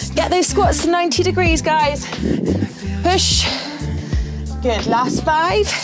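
A woman speaks at a very slow pace, with clear music playing in the background. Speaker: fitness instructor. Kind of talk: workout coaching instructions. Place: studio.

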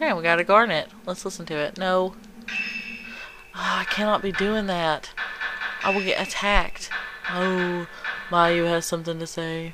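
Music plays in the background as a woman speaks at a moderate pace and medium pitch. Her intonation is fairly even, with long, frequent pauses. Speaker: gaming video creator. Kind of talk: let's play commentary. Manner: quieter than usual. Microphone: capture device audio with crackling noise.

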